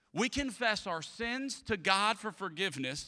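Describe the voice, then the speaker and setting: A man with a Louisiana accent speaks in a bright, sharp, animated tone with lively intonation. The recording is very clean, with a silent background. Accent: Southern US, Louisiana. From US South, Louisiana (Atchafalaya Basin). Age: 30s. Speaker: pastor. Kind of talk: sermon.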